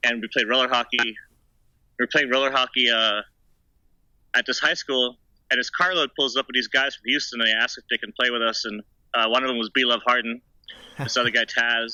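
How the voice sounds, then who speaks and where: Speaking at a fairly quick pace with long, frequent pauses, a man with a medium-pitched voice keeps his intonation fairly even. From Texas, Austin. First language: German. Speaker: inline skater. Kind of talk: casual interview.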